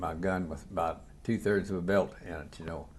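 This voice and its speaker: A man with a very deep, low pitch, fairly even intonation and a fairly quick pace. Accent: southern Indiana. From US Midwest, southern Indiana. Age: 80s+. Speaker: war veteran. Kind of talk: oral history interview. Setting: hotel room interview. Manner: halting, with repetitions.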